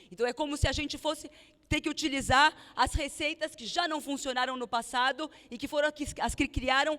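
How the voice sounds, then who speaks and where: This woman has a bright, sharp tone and a high pitch, speaking at a moderate pace with fairly even intonation and a slight non-native accent. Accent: slightly foreign Portuguese, rusty. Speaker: political activist leader. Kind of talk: political speech. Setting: rally at union hall with audience. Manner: halting, many fillers.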